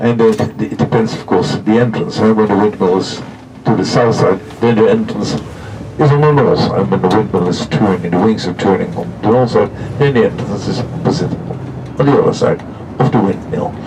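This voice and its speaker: Audible room echo and noticeable background noise surround the voice. It belongs to a man at medium pitch with ordinary pitch variation. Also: moderate pace. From Netherlands. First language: Dutch. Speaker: tour guide. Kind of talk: guided tour commentary. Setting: on a coach.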